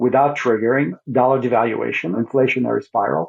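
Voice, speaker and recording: This man's voice carries vocal fry. His pitch is medium. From Soviet Union. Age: 60s. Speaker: investor and financial commentator. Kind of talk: interview.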